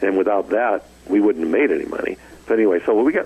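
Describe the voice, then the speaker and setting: Background noise is noticeable here. A man speaks at a fairly quick pace. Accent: American. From Southern California (Glendora). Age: 70s. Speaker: retired rock guitarist. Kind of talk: interview.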